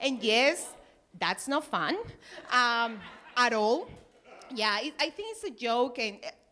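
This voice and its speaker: A woman with a strong Peruvian accent speaks in a high pitch, her bright, sharp tone full of lively intonation. She goes at a very slow pace with long, frequent pauses. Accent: thick Peruvian Spanish. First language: Spanish. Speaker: stand-up comedian. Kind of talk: stand-up. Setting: stage with audience.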